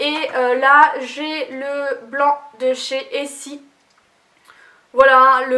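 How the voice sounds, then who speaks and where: Her voice is raised and projected, pitched high. This woman speaks in a flat monotone. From Lorraine, France. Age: 20s. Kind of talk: casual talk to camera.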